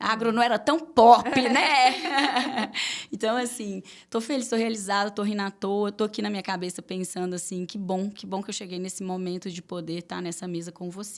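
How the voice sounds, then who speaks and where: A woman with a Minas Gerais accent talks at a moderate pace and a medium pitch. Her loudness swings widely against noticeable background noise. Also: ordinary pitch variation. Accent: Minas Gerais (mineiro) accent, kept. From Minas Gerais, Brazil. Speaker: podcast host. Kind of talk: casual interview.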